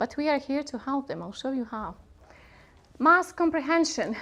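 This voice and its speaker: A woman with a Bosnian accent speaks at a moderate pace. Her high pitch carries lively intonation. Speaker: workshop presenter, linguist. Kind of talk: conference workshop talk.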